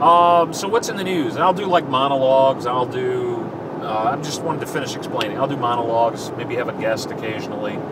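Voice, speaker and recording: Noticeable background noise sits behind a man's voice. He speaks at medium pitch with lively intonation. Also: fairly quick pace. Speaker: radio host. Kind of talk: casual talk to camera. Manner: laid back.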